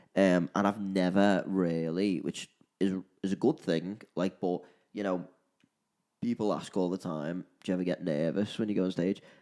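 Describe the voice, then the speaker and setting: In a Liverpool accent, a man with a very deep, low pitch and a dark, mellow tone speaks at a moderate pace with fairly even intonation. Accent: Liverpool (Scouse). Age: 20s. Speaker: live musician, podcast co-host. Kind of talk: casual chat.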